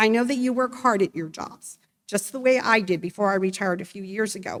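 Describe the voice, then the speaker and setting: The voice has an American accent. Its pace is fairly quick. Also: woman, medium pitch for a woman, ordinary pitch variation. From California, Monterey County area. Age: 60s. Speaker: retired nurse, resident speaking at town hall. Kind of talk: public comment at town hall. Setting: town hall meeting.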